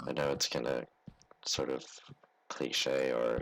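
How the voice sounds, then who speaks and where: A man at a fairly slow pace. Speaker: gaming YouTuber. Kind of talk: let's play commentary. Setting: bedroom. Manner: halting.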